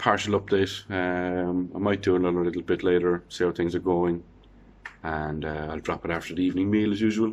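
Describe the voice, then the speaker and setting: A man with an Irish accent, very deep low pitch, monotone flat intonation, moderate pace, and long, frequent pauses. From Ireland. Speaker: vlogger. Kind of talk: casual video diary. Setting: quarantine room. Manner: halting, many fillers.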